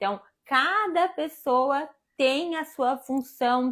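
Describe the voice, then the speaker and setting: Very slowly, a woman speaks with a high pitch and lively intonation, on a very clean recording with a silent background. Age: 30s. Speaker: live show host. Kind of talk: casual chat.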